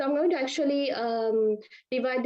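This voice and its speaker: At a moderate pace, a woman with a Sri Lankan accent talks with fairly even intonation. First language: Sinhala. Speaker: Ayurvedic and Unani doctor. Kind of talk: webinar presentation. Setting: online webinar. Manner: hesitant, many fillers.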